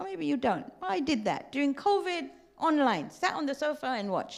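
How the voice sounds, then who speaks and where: An animated tone at a moderate pace. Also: woman. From Tanzania. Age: 60s. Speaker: religious teacher. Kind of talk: lecture. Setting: community centre with audience.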